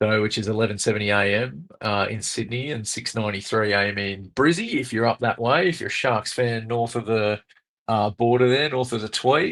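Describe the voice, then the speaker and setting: A man with an Australian accent at a medium pitch, fairly quick in pace, with ordinary pitch variation. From Wollongong, Australia. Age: 40s. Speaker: radio producer. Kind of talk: casual chat.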